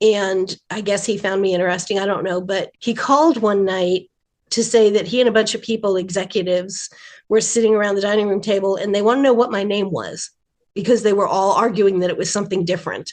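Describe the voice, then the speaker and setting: This woman has an ordinary speaking voice, medium in pitch, and talks at a fairly quick pace. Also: fairly even intonation. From rural New Jersey. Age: 60s. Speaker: animation writer. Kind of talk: interview.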